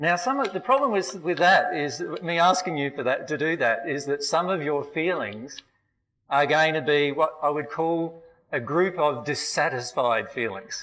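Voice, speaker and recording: With an Australian accent, a man talks at a moderate pace in a fairly high pitch, his intonation lively. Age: 40s. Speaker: spiritual teacher. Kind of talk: seminar lecture. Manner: hesitant, many fillers.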